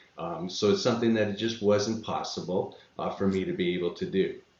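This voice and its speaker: Speaking at a fairly quick pace, a man with a fairly low voice uses lively intonation, and audible room echo can be heard. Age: 60s. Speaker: real estate passive investor. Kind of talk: podcast interview. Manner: halting, many fillers.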